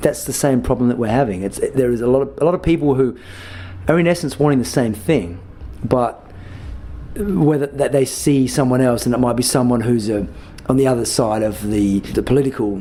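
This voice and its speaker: Over noticeable background noise, a man with an Australian accent talks at a fairly quick pace, medium in pitch with ordinary pitch variation. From Australia, Adelaide. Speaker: musician. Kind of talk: interview. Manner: halting, many fillers and repeats.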